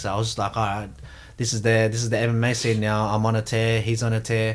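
Speaking with an Australian accent, the voice belongs to a man. His pace is fairly quick. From Australia, Sydney. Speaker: professional MMA fighter, world champion. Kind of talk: casual interview chat. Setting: studio.

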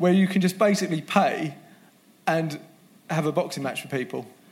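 With a British accent, a man speaks at a moderate pace, his pitch high and its variation ordinary. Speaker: retail business manager.

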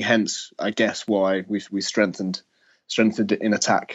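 Man with an ordinary speaking voice, a fairly low pitch, fairly even intonation and a moderate pace. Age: 30s. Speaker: sports journalist. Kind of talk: casual chat.

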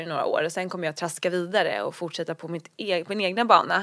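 A woman's normal speaking voice at medium pitch and moderate pace, on a very clean recording with a silent background. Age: 20s. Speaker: blogger and entrepreneur. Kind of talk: interview about recovery and career.

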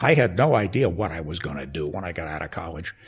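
A man talks at a fairly quick pace with an American accent. His voice is somewhat breathy. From Connecticut. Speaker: sports public relations executive. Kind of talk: interview. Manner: halting.

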